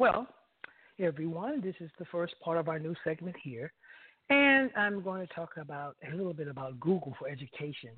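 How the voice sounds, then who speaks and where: Lively intonation and big swings in loudness mark this man's voice. His pitch is high and his pace moderate. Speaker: radio co-host. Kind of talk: casual interview chat. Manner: enthusiastic, repetitive.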